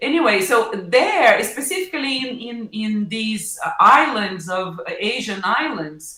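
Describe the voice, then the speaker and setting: A woman's fairly high, lively voice in a Portuguese accent, at a fairly slow pace amid audible room echo. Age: 50s. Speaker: professor. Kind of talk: interview. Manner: halting, many fillers.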